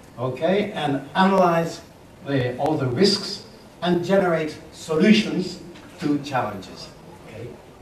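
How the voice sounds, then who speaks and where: Over noticeable background noise and audible room echo, a fairly high-pitched man speaks fairly slowly with lively intonation, big swings in loudness and long, frequent pauses. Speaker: business consultant and speaker. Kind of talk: lecture.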